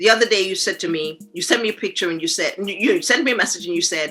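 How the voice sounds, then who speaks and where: With music in the background, a woman talks at a very fast pace. Her medium pitch swings very widely. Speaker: podcast host. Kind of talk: casual podcast conversation.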